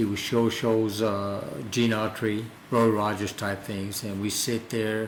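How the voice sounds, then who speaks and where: Against noticeable background noise, a man with a New Mexico accent and fairly low pitch speaks in a monotone, flat intonation. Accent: New Mexican English. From New Mexico, US. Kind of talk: oral history interview. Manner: reflective, conversational with hesitations.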